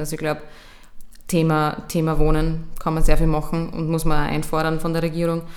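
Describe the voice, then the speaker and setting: In an Austrian accent, a woman with a fairly low pitch speaks at a fairly quick pace, with audible room echo and noticeable background noise. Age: 20s. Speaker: youth politician. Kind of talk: interview.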